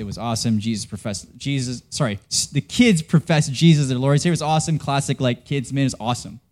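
This man's speech moves fairly quickly. The pitch shows ordinary variation. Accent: Western Canadian. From Canada. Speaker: pastor. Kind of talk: sermon. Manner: casual, conversational with frequent fillers.

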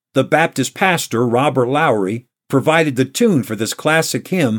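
In a very clean recording with a silent background, a man with an American accent and a normal speaking voice talks at a fairly slow pace and medium pitch, with lively intonation. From New York state. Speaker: pastor. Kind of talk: radio devotional.

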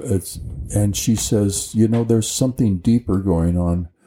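The voice is dark, mellow and somewhat breathy, in an American accent. It moves at a fairly slow pace with ordinary pitch variation. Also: man. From rural Colorado, US. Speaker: retired college tutor. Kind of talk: interview.

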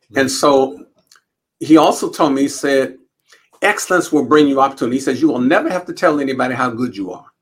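A man with an American accent talks at a very fast pace. His pitch is fairly high, with ordinary variation. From Los Angeles, US. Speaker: university president and psychologist. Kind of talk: interview.

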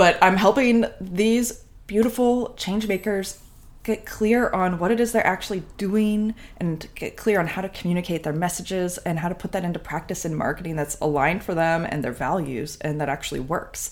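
A woman with a medium pitch speaks in an animated tone at a moderate pace, with ordinary pitch variation. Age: 30s. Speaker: podcast producer and messaging mentor. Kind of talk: casual interview.

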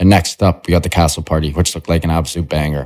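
In a Canadian accent, a man speaks with a very deep, low pitch. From Canada. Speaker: podcast host. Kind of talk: casual interview chat. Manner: energetic, enthusiastic.

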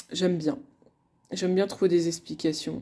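A woman's fairly low voice at a fairly quick pace. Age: 30s. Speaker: couples coach and podcast host. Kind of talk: solo podcast monologue. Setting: alone at her desk. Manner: hesitant, many fillers.

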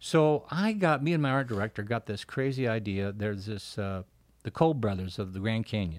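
On a very clean recording with a silent background, a man with an American accent speaks at a fairly quick pace, medium in pitch, with lively intonation. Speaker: magazine executive editor and artist. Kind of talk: interview. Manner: animated.

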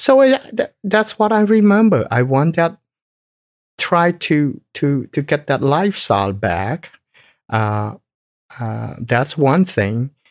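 A man speaks very slowly with a Cambodian accent, his pitch swinging very widely and long pauses coming often. The recording is very clean and dry, close-miked with no echo and a silent background. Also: fairly high pitch for a man. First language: Khmer. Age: 60s. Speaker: business owner. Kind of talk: interview. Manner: halting.

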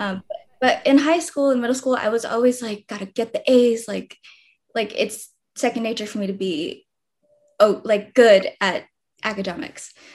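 With a Californian accent, a woman talks at a moderate pace in a fairly high pitch, with ordinary pitch variation and long, frequent pauses. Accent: Californian American. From US West Coast, East Los Angeles (El Monte). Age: 20s. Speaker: content creator. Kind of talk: casual interview chat.

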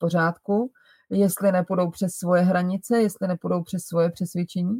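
A woman's dark, mellow tone, somewhat breathy. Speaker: style coach and podcast host. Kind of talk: advice monologue. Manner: slower than usual.

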